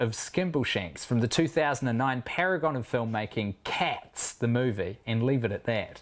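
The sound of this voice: The clip is an unforced reading voice with ordinary pitch variation.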